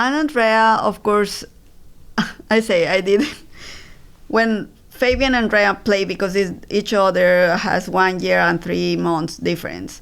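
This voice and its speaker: A fairly slow voice with a Spanish accent, ordinary pitch variation, very even loudness and long, frequent pauses, on a very clean recording with a silent background. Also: woman, medium pitch for a woman. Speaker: breast cancer survivor and mother. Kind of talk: interview. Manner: halting.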